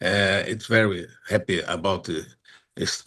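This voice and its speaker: Over a quiet background, a man with a Portuguese accent speaks very slowly at a fairly low pitch. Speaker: agricultural federation chairman. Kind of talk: conference speech. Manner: halting.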